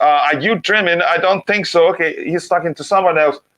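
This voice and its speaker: Fairly quick male speech, pitch rising and falling in an ordinary way. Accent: non-native. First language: not English. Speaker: football podcast host. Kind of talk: live stream chat. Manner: halting.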